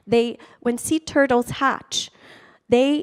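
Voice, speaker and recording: A woman with a Portuguese accent talks at a fairly slow pace in a high voice with ordinary pitch variation, the sound dry and close with no echo. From Brazil. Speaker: storyteller. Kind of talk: personal storytelling talk. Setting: stage with audience.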